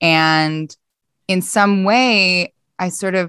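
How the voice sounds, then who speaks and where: A bright, sharp tone with an American accent, dry and close with no echo, over a quiet background. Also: woman. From US, Philadelphia. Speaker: organizational psychologist. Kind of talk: podcast interview.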